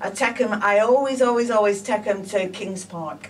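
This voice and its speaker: A woman with a northern English accent and a fairly high voice, ordinary pitch variation, a moderate pace, and noticeable background noise. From northern England, Blackburn, Lancashire. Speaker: psychic medium. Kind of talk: interview. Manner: animated.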